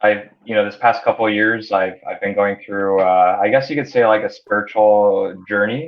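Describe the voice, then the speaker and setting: Speaking at a fairly slow pace, a man with an American accent has a fairly low pitch. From United States. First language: Hungarian. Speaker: entrepreneur. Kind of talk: interview. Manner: halting, many repetitions and fillers.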